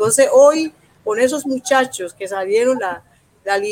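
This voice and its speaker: A woman speaks in a plain, everyday voice at a fairly high pitch. Her pace is fairly slow, with ordinary pitch variation. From Colombia, Urabá region. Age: 50s. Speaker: social leader and political candidate. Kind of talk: interview.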